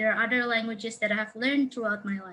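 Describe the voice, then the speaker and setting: A woman speaks with an Indonesian accent. Her pitch is fairly high, with ordinary variation. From Indonesia, Jakarta. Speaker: counselling student. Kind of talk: webinar presentation. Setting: online webinar. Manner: hesitant, many fillers.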